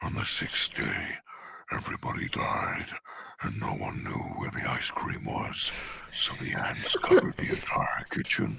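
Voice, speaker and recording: A man puts on a character voice that is croaky, raspy and strained. He speaks at a moderate pace. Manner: growly, creature voice.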